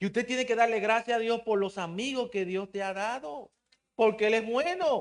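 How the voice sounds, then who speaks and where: In a quiet background, a man with a Dominican accent talks at a moderate pace, his pitch high with ordinary variation. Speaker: preacher. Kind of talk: sermon. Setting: church.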